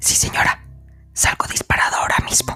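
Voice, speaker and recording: A woman whispers in a put-on character voice. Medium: read story. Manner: deferential but stubborn.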